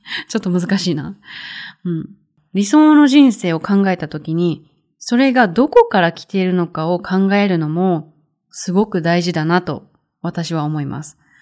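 The recording is very clean with a silent background, and the tone is dark and mellow. Delivery runs at a moderate pace with lively intonation and big swings in loudness. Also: woman, medium pitch for a woman. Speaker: Japanese teacher podcaster. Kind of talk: language-learning podcast monologue.

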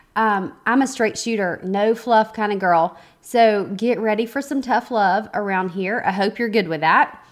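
Her pitch fairly high, a woman with a Southern US accent speaks at a fairly slow pace with hardly any pauses and ordinary pitch variation, on a very clean recording with a silent background. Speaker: podcast host, photographer and business coach. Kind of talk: podcast intro monologue. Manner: casual, conversational with fillers.

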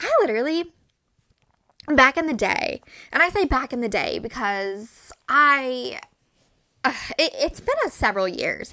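Raising and projecting her voice, a woman with a high pitch and a bright, sharp tone sounds animated, swinging very widely in pitch at a fairly slow pace with long, frequent pauses. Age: 20s. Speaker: podcast host. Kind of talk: casual solo monologue. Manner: animated, frequent laughs.

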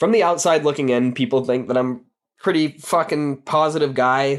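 A man with a medium pitch speaks at a moderate pace, and his voice is shaky. His pitch varies in an ordinary way against a quiet background. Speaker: podcast host, recovering addict. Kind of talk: personal monologue. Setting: home recording with microphone.

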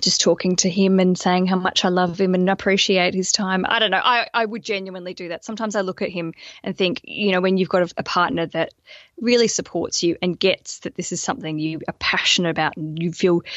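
Talking at a fairly quick pace, a woman with an Australian accent keeps a medium pitch. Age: 30s. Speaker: wedding podcaster and former stand-up comedian. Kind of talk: coaching call. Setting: video call. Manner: animated.

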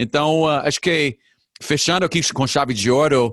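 At a fairly slow pace, a man with a non-native accent and a fairly high pitch speaks in a dry, close sound with no echo. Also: quiet background. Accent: foreign accent in Portuguese. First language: English (speaking Portuguese). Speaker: podcast host. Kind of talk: interview conversation. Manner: halting, hesitant.

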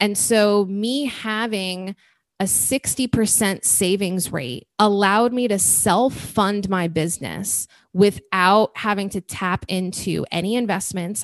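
A woman's medium-pitched, fairly slow voice, a normal speaking voice, in a dry, close recording with no echo. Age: 30s. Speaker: podcast host and event business founder. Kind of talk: interview.

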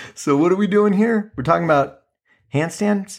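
The tone is animated. The pace is moderate. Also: man. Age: 40s. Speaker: podcast host. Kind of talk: casual monologue.

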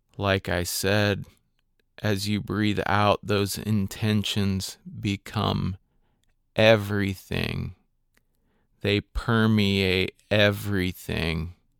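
With long, frequent pauses, a man speaks at a very slow pace in a fairly low pitch and a calm, soothing tone, his intonation flat and monotone, on a very clean recording with a silent background and a dry, close sound with no echo. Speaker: meditation guide podcaster. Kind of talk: guided meditation. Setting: solo recording for podcast. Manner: slow, calm and soothing, with long pauses; gentle, instructive, inviting listeners to repeat affirmations.

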